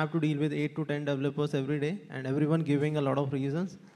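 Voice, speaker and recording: A man speaks with an Indian accent. He goes at a very fast pace. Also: quiet background. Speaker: digital marketing agency co-founder, panelist; panelist. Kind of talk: panel discussion. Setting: stage with audience. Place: hall. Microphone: handheld.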